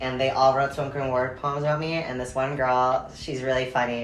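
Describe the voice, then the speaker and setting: A man talks very fast at a medium pitch with fairly even intonation, with audible room echo and noticeable background noise. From Canada, small Portuguese immigrant town. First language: Portuguese. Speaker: guest. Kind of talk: casual chat. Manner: casual, filler-heavy.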